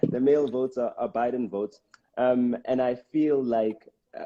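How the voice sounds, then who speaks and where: Dry and close with no echo, the recording captures a man with a South African accent and a dark, mellow tone. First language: Xitsonga. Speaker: rapper and live streamer. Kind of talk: casual live stream talk. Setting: live stream. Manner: halting, many fillers.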